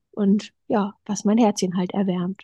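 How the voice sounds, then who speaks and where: Her voice carries a somewhat breathy quality. The woman talks fairly slowly. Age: young. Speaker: eating disorder recovery guest, yoga teacher. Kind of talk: personal interview, testimony.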